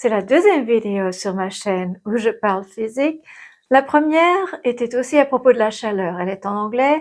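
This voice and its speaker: Speaking at a moderate pace, a woman uses a fairly high pitch and lively intonation. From Geneva area, French side of the border. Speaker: physicist and video creator. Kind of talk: personal vlog monologue.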